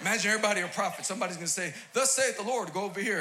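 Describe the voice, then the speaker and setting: A raised, projected voice with an American accent races along at a very fast pace, animated in tone and lively in intonation. Noticeable background noise and audible room echo fill the recording. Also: man. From New York City, Queens. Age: 40s. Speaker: pastor. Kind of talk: sermon. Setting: church stage with audience.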